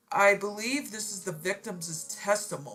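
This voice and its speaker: Music plays behind the speaker. She is a woman, talking at a very slow pace. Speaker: story narrator. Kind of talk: reading aloud.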